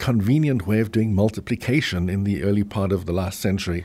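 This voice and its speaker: A man's dark, mellow voice in a South African accent, ordinary pitch variation, on a very clean recording with a silent background. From Cape Town, South Africa. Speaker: business school professor.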